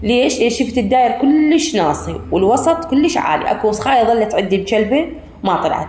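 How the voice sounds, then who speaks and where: A woman at a moderate pace with very wide pitch swings, amid noticeable background noise and audible room echo. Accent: Iraqi. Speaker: home cooking vlogger. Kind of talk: casual tutorial. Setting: rooftop at night.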